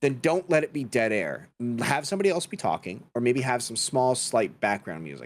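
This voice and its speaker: Hardly pausing, a man talks at a fairly quick pace with a medium pitch and very wide pitch swings. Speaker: podcast guest, content creator and voice actor. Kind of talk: casual chat. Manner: stutters sometimes; talks a lot.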